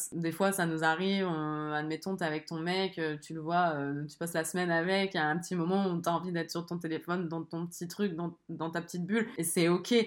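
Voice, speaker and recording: Speaking at a fairly quick pace with hardly any pauses, a woman keeps a fairly low pitch and a monotone, flat intonation. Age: 20s. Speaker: podcaster. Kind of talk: solo monologue. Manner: casual, with frequent hesitations.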